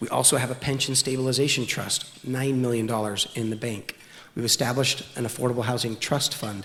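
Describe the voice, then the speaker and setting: A man with a medium-pitched, monotone, flat delivery speaks at a fairly quick pace over noticeable background noise. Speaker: city official. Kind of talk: speech. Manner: fast.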